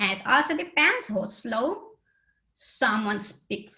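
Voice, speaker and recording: A woman's voice has a bright, sharp tone and a non-native accent. Audible room echo is present. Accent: foreign accent in English. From Aruba. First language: Papiamento. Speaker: accessibility conference speaker. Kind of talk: conference talk.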